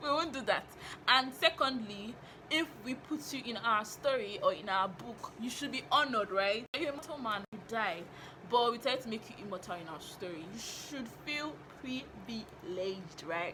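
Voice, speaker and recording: Over noticeable background noise, a woman with a fairly high pitch speaks at a moderate pace in an animated tone, with lively intonation and big swings in loudness. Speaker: novelist and writing teacher, vlogger. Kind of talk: casual vlog monologue.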